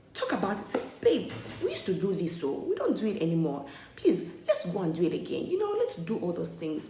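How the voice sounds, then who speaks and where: An animated woman's voice with audible room echo and noticeable background noise. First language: not English. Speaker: vlogger. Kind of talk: opinion vlog monologue.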